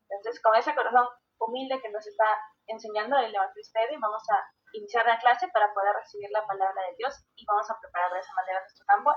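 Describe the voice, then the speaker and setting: Her pace is very fast, and her pitch is fairly high. The woman keeps her intonation fairly even. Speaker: class moderator. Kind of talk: event introduction.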